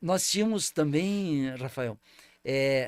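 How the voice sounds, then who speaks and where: A man's fairly high voice moves through very wide pitch swings. The sound is dry and close with no echo, on a very clean recording with a silent background. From southern Brazil, Paraná/Santa Catarina border region. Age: 60s. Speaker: former mayor. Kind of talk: interview. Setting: studio. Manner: halting, many repetitions and fillers.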